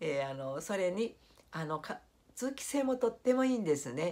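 A woman's voice with very wide swings in pitch. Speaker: YouTuber; home vlogger. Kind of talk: vlog monologue. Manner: formal polite; hesitant, many fillers. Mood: warm, nostalgic, smiling. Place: home room. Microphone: phone near.

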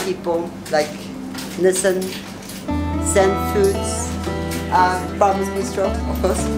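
Over clear music in the background, a woman speaks at a very slow pace. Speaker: host of fundraiser dinner. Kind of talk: speech to guests. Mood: warm, grateful. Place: cafe. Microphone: camera far.

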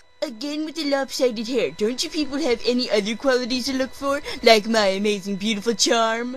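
Over clear background music, a woman uses a put-on character voice that is squeaky and whiny, high-pitched, and fairly quick. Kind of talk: comic fan-dub overacting. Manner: whiny, bratty, boastful.

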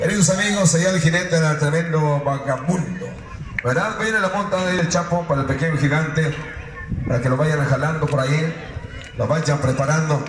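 Moderate pace and ordinary pitch variation from a man at fairly high pitch, with noticeable background noise and audible room echo. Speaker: rodeo announcer / radio host. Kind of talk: rodeo event announcer speech to crowd. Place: stadium.

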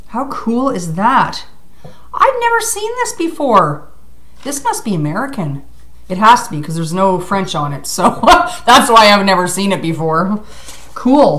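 A woman speaks at a fairly slow pace with long, frequent pauses, big swings in loudness and very wide pitch swings over light background noise. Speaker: vlogger. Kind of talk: casual vlog chat. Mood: excited, grateful. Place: home room. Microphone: webcam.

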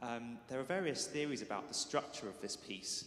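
With audible room echo, the speaker talks at a fairly quick pace with ordinary pitch variation. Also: man. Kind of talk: spoken programme introduction to an audience. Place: church.

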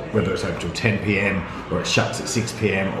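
At a moderate pace, a man with a fairly low voice talks with fairly even intonation amid noticeable background noise. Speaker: vlogger. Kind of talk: casual vlog chat. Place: home room. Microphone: phone near.

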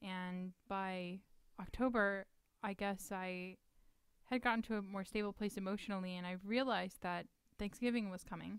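In a plain, everyday voice, a woman with an American accent talks at a moderate pace, her medium pitch carrying fairly even intonation over a dry sound with no echo. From Texas. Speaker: charity founder and political candidate; candidate. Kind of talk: casual chat. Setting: studio. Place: studio. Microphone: studio mic.

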